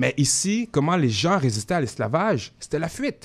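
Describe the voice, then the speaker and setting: An animated man with a fairly high pitch and very wide pitch swings. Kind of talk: radio interview.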